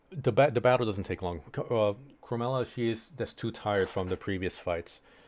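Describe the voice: Someone is doing plain reading aloud. Their pitch moves up and down in an ordinary way.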